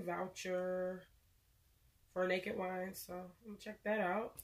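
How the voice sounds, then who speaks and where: A woman with a medium-pitched voice speaks at a fairly slow pace over noticeable background noise. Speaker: beauty vlogger. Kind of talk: unboxing video. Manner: casual, chatty.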